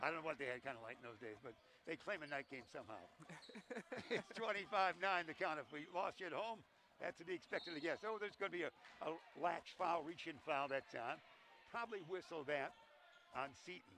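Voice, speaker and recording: Loud and high-voiced, a man speaks at a fairly quick pace with lively intonation and long, frequent pauses. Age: old. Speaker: play-by-play announcer. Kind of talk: live commentary. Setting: broadcast booth at a high school gym. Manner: animated.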